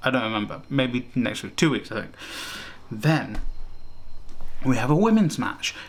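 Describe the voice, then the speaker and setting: A plain, everyday voice at a fairly quick pace with ordinary pitch variation. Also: man. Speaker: wrestling show reviewer. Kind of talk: casual review monologue.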